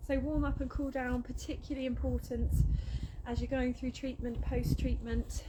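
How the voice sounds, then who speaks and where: Someone mumbles with a British accent at a moderate pace and very even loudness, with noticeable background noise behind. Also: woman. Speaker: fitness instructor. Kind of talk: workout instruction. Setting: outdoors. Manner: mumbling.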